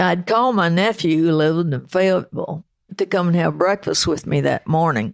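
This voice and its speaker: With a Southern US accent, this voice shows ordinary pitch variation. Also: woman. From US South, Arkansas. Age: 90s. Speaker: concert promoter and venue manager. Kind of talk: casual interview chat.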